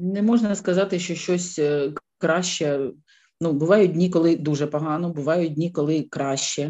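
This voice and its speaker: A woman with a Ukrainian accent has a dark, mellow tone and a fairly low pitch with ordinary variation. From Ukraine, Kyiv. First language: Ukrainian (speaking German). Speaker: war refugee. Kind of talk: interview testimony.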